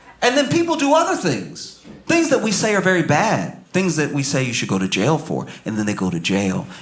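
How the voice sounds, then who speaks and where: Over noticeable background noise, a man speaks at a fairly quick pace with hardly any pauses. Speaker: stand-up comedian. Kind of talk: stand-up comedy set. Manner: calm, laid-back.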